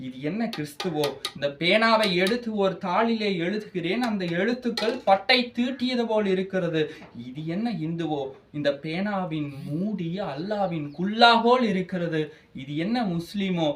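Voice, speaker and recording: With lively intonation, a man speaks at a high pitch over noticeable background noise. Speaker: college student speaker. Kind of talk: speech. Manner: animated, oratorical.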